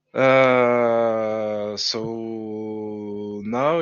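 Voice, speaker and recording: A man talks in a strong French accent at a fairly low pitch. The room echo is audible. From France. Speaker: game level designer. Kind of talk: casual livestream chat. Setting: livestream. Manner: halting, hesitant.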